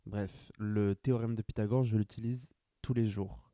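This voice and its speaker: A man's fairly low, dark and mellow voice at a fairly slow pace. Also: dry, close sound with no echo. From France, Grand Est (rural village). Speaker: podcaster. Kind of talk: casual solo monologue.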